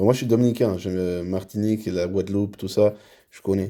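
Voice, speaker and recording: A man's very deep, low voice with a dark, mellow tone, fairly even intonation and a very fast pace, on a very clean recording with a silent background. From Dominican Republic. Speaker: roleplay server hospital leader. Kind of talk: recruitment interview.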